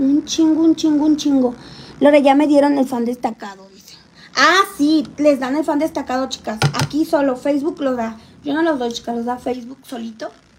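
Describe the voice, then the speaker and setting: A woman with a Mexican accent talks in an animated tone at a moderate pace, her pitch high. Her loudness swings widely over noticeable background noise. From Mexico, Xalapa, Veracruz. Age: 20s. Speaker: livestreamer, makeup vlogger. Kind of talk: casual livestream chat.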